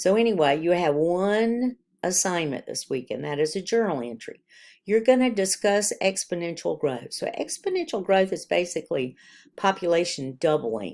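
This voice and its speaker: In a very clean recording with a silent background, a woman at a medium pitch speaks at a moderate pace with very wide pitch swings. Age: 60s. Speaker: college biology instructor. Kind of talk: recorded course announcements.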